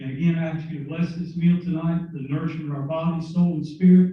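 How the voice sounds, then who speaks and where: Here a man speaks at a very fast pace with a fairly high pitch. His tone is dark and mellow, and audible room echo fills the recording. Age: 60s. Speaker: team chaplain. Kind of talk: invocation prayer. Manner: animated.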